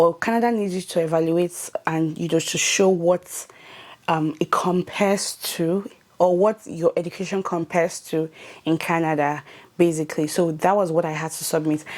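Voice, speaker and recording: A woman in a Nigerian accent talks at a moderate pace with a fairly low pitch and fairly even intonation. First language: not English. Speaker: YouTuber. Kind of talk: tutorial. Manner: casual with fillers.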